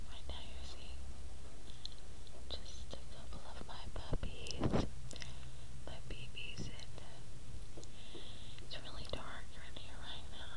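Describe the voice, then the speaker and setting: A woman speaks at a very slow pace, with long, frequent pauses. Loud background noise runs behind her. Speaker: home video maker. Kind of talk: casual talk to camera. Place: home room. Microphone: phone near.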